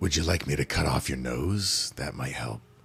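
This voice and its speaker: A man puts on a raspy, gruff character voice with a very deep, low pitch. He keeps a moderate pace. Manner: menacing, darkly jokey.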